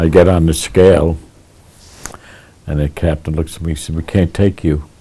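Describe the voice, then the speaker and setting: A man with a New York accent, very deep in pitch, in a monotone, flat delivery. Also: moderate pace. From Sleepy Hollow and Tarrytown, New York. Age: 80s+. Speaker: centenarian local resident. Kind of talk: interview answer.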